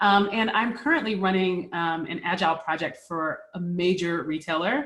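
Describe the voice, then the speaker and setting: A woman at a medium pitch talks with lively intonation. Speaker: MDM consultant and agile practitioner. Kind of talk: webinar presentation. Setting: working from home, virtual webinar. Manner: fast.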